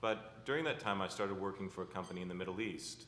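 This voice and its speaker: A man with an American accent, a fairly low pitch and a very fast pace. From United States. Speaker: company CEO. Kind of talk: conference panel discussion. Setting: stage with audience.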